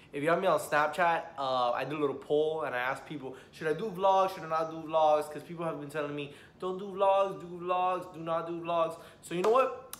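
A man with an American accent talks at a high pitch and a fairly quick pace, with ordinary pitch variation. His loudness swings widely, and audible room echo surrounds him. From US South, Miami, Florida. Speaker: YouTuber. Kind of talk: casual reaction vlog. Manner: animated.

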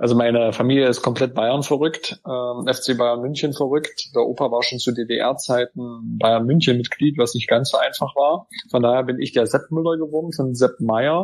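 Delivered at a moderate pace, a man's medium-pitched voice keeps a fairly even intonation. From Saxony-Anhalt, Germany (Gräfenhainichen). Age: 30s. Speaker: politician. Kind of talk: interview.

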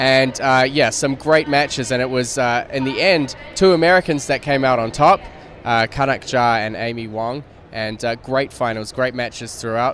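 The tone is fairly bright and the intonation fairly even. Faint background noise sits underneath. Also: man, medium pitch for a man, moderate pace.

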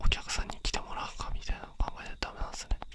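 Whispering, a man speaks at a very fast pace. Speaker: ASMR creator. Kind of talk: whispered ASMR talk. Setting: binaural dummy head mic. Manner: whispered. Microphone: studio mic.

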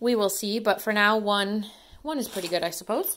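Light background noise sits behind a woman's speech. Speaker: dumpster diving vlogger. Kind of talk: casual haul vlog chat. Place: home room. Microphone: phone near.

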